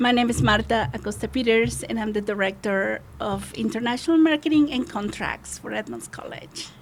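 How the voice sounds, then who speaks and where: Against noticeable background noise, a woman with a Spanish accent speaks at a moderate pace with hardly any pauses. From Mexico. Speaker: college international marketing director. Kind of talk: podcast interview.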